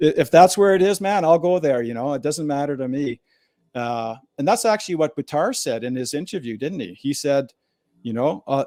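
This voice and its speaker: With a western Canadian accent, a man speaks at a moderate pace in a fairly high pitch, his tone dark and mellow and his intonation lively, in a very clean recording with a silent background. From Alberta, Canada. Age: 60s. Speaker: former political candidate. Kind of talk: interview testimony. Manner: casual, filler-heavy.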